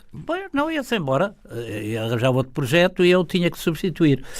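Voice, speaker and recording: A man speaks in a high voice. His pace is fairly quick. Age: 80s+. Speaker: theatre impresario. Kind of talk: interview.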